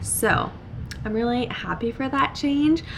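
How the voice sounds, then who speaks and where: A woman's voice, with ordinary pitch variation, comes through audible room echo and noticeable background noise. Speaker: book vlogger. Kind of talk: casual vlog talk.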